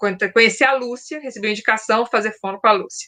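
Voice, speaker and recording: Bright and sharp in tone, the voice moves at a fairly quick pace. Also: woman. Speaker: book channel host, former radio and news journalist. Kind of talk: casual chat. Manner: fast.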